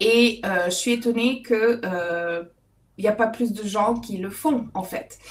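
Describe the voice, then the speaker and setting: This woman's pitch is fairly high and varies an ordinary amount. She speaks very slowly. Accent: English-Canadian. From Alberta, Canada. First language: English (speaking French). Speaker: author and public speaking coach. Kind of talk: webinar talk. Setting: video call. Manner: hesitant, many fillers.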